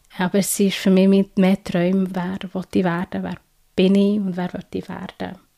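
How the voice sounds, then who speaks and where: A woman with a dark, mellow tone and a medium pitch speaks fairly slowly in a monotone, flat delivery, the sound dry and close with no echo. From Switzerland. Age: 30s. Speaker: change-process coach. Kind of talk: interview testimony.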